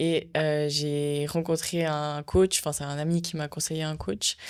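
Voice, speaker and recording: On a very clean recording with a silent background, a woman speaks at a very deep, low pitch in a monotone, flat intonation. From Switzerland. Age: 20s. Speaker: bodybuilding athlete. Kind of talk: podcast interview.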